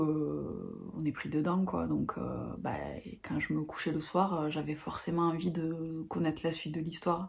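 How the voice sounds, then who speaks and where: A woman speaks at a fairly slow pace with a fairly low pitch. Her voice is somewhat breathy and her intonation fairly even. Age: 40s. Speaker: book vlogger. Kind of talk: casual vlog talk to camera. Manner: halting, many hesitations.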